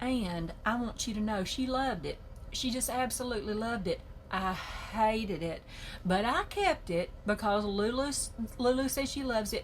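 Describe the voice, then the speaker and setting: A woman with a Southern US accent sounds animated and somewhat breathy, her pitch fairly high. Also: ordinary pitch variation, moderate pace. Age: 60s. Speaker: journaling video creator. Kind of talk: casual chat.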